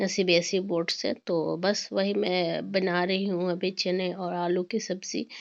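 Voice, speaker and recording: Over a quiet background, a woman talks at a very slow pace. Her pitch sits in the medium range. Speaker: vlogger, homemaker. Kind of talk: casual vlog narration. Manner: hesitant, many fillers.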